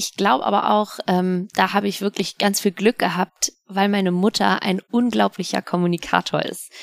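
A woman speaks in a plain, everyday voice at a moderate pace. The recording is very clean with a silent background, dry and close with no echo. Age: 30s. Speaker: sports presenter. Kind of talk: casual interview.

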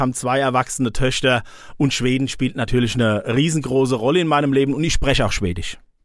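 The speaker has a strong southern Hessian accent and ordinary pitch variation. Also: man. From Odenwald, southern Hesse. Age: 50s. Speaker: police press spokesman. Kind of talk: interview.

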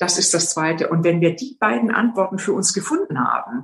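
A woman speaks in a Swabian accent. Her voice is somewhat breathy, with lively intonation. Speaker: executive coach and former board member. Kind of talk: interview.

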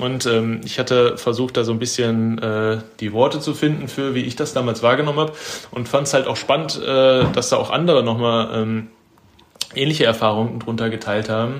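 Man's medium-pitched voice at a moderate pace, with audible room echo and noticeable background noise. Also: fairly even intonation. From Germany, Ruhr area (Bochum). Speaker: photographer. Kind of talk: casual chat.

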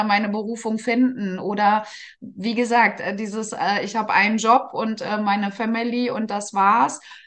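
At a moderate pace, the speaker has an unremarkable speaking voice with fairly even intonation. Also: woman. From northern Germany, Gifhorn district, Lower Saxony. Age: 30s. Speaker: care service manager and network marketer. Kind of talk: interview.

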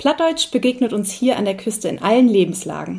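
This woman's voice is somewhat breathy. She keeps to a moderate pace. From North Frisia, Eiderstedt peninsula. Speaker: podcast host, tourism staff. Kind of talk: interview. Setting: at guest's home.

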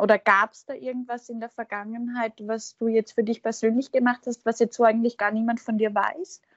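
A woman speaks in a high voice. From Austria. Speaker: podcast host. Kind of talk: interview conversation.

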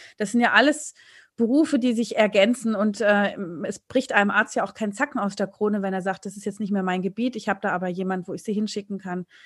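The speech comes at a very fast pace, somewhat breathy, with ordinary pitch variation. The background is quiet. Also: woman, medium pitch for a woman. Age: 40s. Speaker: dermatologist and author. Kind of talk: interview.

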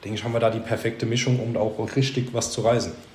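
Background noise is noticeable as a man speaks with audible room echo around him. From Baden-Württemberg, near Heidelberg. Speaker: junior manager of a carpentry business. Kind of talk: interview.

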